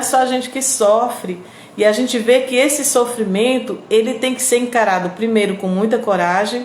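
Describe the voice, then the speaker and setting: Amid noticeable background noise and audible room echo, a woman with a fairly high pitch speaks at a moderate pace with fairly even intonation. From Northeast Brazil, Piauí. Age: 50s. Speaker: radio host and online presenter. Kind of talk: live stream chat with viewers. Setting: live video stream.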